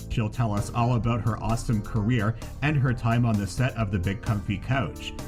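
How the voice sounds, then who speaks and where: Music plays in the background. A man speaks at a moderate pace and a medium pitch. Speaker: podcast host. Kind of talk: podcast intro read.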